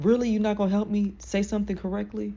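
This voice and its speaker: A woman speaks in an animated tone. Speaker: self-help vlogger. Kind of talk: casual motivational talk.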